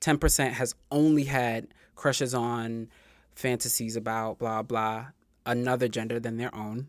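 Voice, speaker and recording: An unremarkable speaking voice from a man with an American accent, medium in pitch, at a fairly slow pace with fairly even intonation, in a very clean recording with a silent background. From New York, Queens (Far Rockaway). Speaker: YouTuber on self-improvement. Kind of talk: interview conversation.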